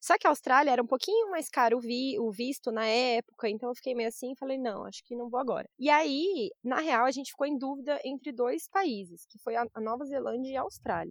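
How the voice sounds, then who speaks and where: A woman talks at a fairly quick pace with hardly any pauses, her high voice showing ordinary pitch variation. Her loudness rises and falls in big swings. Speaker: journalist and travel blogger. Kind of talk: casual interview chat.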